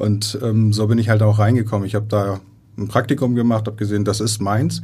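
A man's fairly low, somewhat breathy voice with a dark, mellow tone, fairly even intonation and a fairly quick pace, with audible room echo. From Iran, moved to Germany at eleven, raised in Heide. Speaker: operating theatre nursing manager. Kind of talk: interview. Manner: halting, many fillers.

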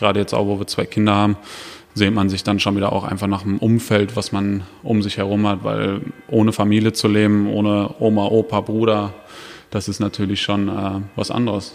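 Over music in the background, a man with a fairly low pitch speaks at a moderate pace in a monotone, flat delivery. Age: 30s. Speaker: professional footballer. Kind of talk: interview. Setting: stadium.

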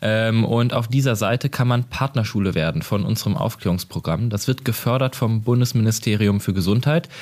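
A man speaks at a moderate pace and medium pitch, with very even loudness, ordinary pitch variation and hardly any pauses. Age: 20s. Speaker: sex-education nonprofit worker. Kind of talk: interview. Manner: hesitant, many fillers.

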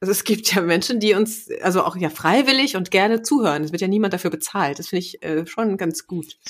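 A woman talks at a fairly quick pace with hardly any pauses, her medium-pitched voice carrying lively intonation. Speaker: podcast co-host, former radio presenter. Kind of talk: casual, chatty.

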